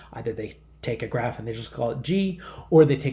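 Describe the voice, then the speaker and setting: A man at medium pitch with a dark, mellow tone and a somewhat breathy quality speaks at a fairly quick pace, with audible room echo. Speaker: math professor. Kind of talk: lecture. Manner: halting, many fillers and repetitions.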